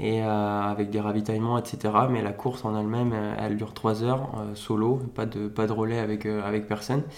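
A man with a medium-pitched voice speaks in a flat monotone at a moderate pace, with audible room echo. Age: 30s. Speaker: motocross and rally rider. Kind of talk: interview. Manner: hesitant, many fillers.

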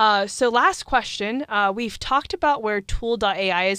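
A woman in a plain, everyday voice speaks at a moderate pace with fairly high pitch and lively intonation, recorded very cleanly against a silent background with a dry, close sound and no echo. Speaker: student podcast host. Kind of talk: interview. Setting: studio.

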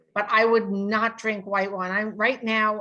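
This woman's voice is fairly high, with a bright, sharp tone. She speaks fairly slowly with fairly even intonation. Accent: New York. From US Northeast, New York City. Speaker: sensory scientist. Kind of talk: interview.

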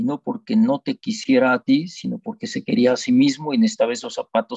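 At a moderate pace, a man talks in a dark, mellow tone with very wide pitch swings, and the sound is dry and close with no echo. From Mexico. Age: 70s. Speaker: dentist, son of Holocaust survivor. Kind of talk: testimony.

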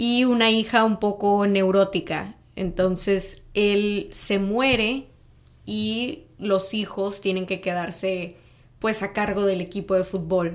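A woman with a medium pitch talks very slowly, her intonation fairly even. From Mexico, Tamaulipas (north). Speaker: podcast co-guest, native Spanish speaker. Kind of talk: casual chat.

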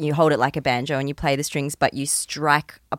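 A woman speaks with an Australian accent. Her pitch is very deep and low, and the sound is dry and close with no echo. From Queensland, Australia. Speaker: musician. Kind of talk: casual chat. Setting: studio.

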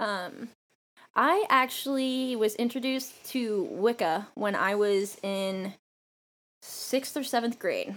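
Someone with an American accent speaks very slowly in a very clean recording with a silent background. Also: woman. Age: 20s. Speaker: podcast co-host, former soldier. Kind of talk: casual chat. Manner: profane, joking.

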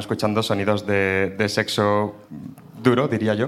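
A man speaks in a fairly low pitch. Noticeable background noise can be heard. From Burgos, Spain. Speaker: audience member telling a story. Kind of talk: storytelling to a live audience.

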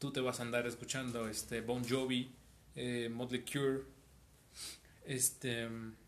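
At a fairly slow pace with long, frequent pauses, a man speaks at a medium pitch in a monotone, flat intonation. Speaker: audio engineering student and musician. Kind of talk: casual chat.

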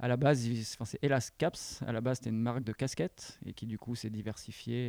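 The man's voice sits at a medium pitch with a dark, mellow tone. The sound is dry and close, with no echo. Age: 30s. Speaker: skate videographer changing careers. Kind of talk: casual interview. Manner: hesitant, many fillers.

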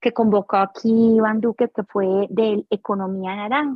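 A woman talks in a fairly high register. Her delivery stays fairly level in intonation. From Colombia, Barrancabermeja. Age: 50s. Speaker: dance teacher and choreographer. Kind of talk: interview.

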